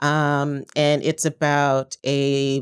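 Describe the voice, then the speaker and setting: A woman with a very deep, low voice is heard in a very clean recording against a silent background, the sound dry and close with no echo. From Canada. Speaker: TV writer. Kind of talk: panel discussion.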